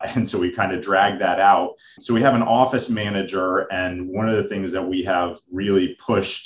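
A man talks in a plain, everyday voice. His pitch is fairly low and his intonation fairly even. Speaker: financial advisor. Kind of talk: casual business conversation.

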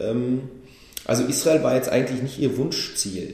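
In audible room echo, a somewhat breathy voice with a dark, mellow tone speaks at a fairly slow pace with ordinary pitch variation. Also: man. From Berlin, Germany. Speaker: rapper. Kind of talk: casual chat.

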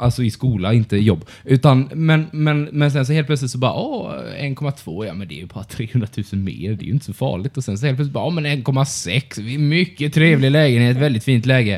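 Here a man uses a normal speaking voice. He keeps a moderate pace with hardly any pauses. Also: medium pitch for a man, lively intonation. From Blekinge, Sweden. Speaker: podcast co-host. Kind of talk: casual chat.

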